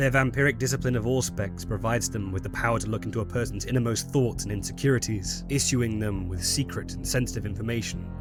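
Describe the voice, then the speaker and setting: A man's fairly low voice at a very fast pace, with ordinary pitch variation and music in the background. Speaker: lore narrator. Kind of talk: game lore commentary.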